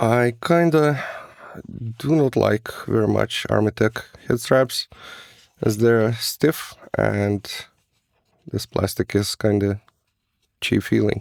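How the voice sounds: A man speaks slowly at a fairly low pitch, with vocal fry and ordinary pitch variation. Long, frequent pauses break up the speech, and the sound is dry and close with no echo.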